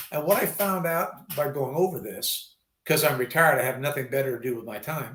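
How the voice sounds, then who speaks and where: A man with a normal speaking voice and an American accent, fairly high in pitch with ordinary pitch variation, at a fairly quick pace. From US West Coast, California Bay Area. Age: 60s. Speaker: retired army veteran. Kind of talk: casual interview chat.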